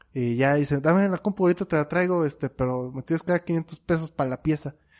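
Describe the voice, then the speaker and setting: Recorded dry and close with no echo, a man with a fairly high voice talks at a fairly quick pace with ordinary pitch variation. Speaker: podcast co-host. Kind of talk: casual chat.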